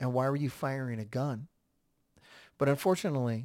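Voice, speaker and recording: A man with an American accent and a plain, everyday voice, fairly quick in pace and fairly even in intonation, on a very clean recording with a silent background. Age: 40s. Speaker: podcast host. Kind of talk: solo commentary podcast.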